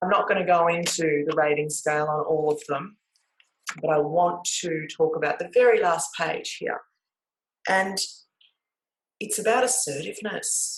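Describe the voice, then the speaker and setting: Long, frequent pauses break up a woman's speech, delivered in an Australian accent with ordinary pitch variation. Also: fairly low pitch for a woman, moderate pace. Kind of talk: talk to camera. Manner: loud; variable pace.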